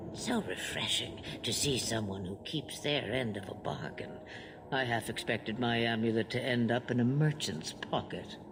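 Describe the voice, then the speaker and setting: Over loud background noise, a put-on character voice with a low pitch moves at a moderate pace. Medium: video game. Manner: cryptic, slow, knowing.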